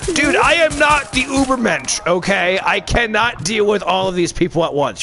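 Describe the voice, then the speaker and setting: Amid noticeable background noise, a man talks at a fairly slow pace in a raised, projected voice. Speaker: gaming channel host. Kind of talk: casual gaming chat with teammates. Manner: loud, excitable, joking.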